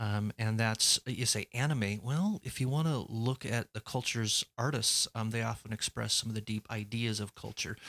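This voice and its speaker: A plain, everyday voice from a man with an American accent, medium in pitch, at a moderate pace with hardly any pauses and fairly even intonation, in a dry, close sound with no echo on a very clean recording with a silent background. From United States. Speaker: cultural trainer and researcher. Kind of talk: casual chat.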